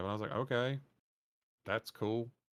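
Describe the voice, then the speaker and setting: A man's medium-pitched voice at a fairly quick pace, on a very clean recording with a silent background. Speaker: podcast host and streamer. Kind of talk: casual chat. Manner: animated.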